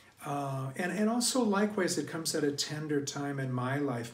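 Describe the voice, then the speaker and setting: A man talks at a fairly slow pace in a medium pitch. Audible room echo surrounds his voice. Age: 60s. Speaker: priest. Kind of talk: sermon. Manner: halting.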